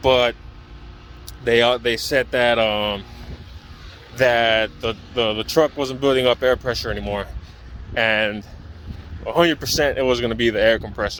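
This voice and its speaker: Medium-pitched male speech at a moderate pace, fairly even in intonation, broken by long, frequent pauses, with noticeable background noise. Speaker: diesel tech student. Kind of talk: tutorial. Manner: halting.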